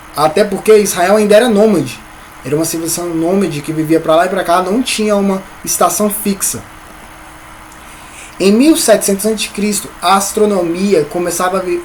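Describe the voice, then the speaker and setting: Against noticeable background noise, a man with a high-pitched voice speaks with long, frequent pauses. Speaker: Sunday school teacher. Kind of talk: Bible lesson. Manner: halting, repeats words.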